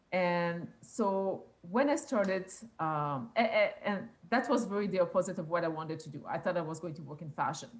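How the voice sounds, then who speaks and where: A woman with a French accent speaks with lively intonation and a somewhat breathy sound. Her loudness shifts in big swings. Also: medium pitch for a woman, moderate pace. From rural Quebec. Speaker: police youth engagement officer. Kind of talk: interview. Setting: live internet broadcast. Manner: halting.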